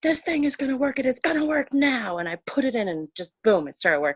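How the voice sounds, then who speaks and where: Someone whispers at a fairly quick pace in a very clean recording with a silent background. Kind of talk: casual chat. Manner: whispering.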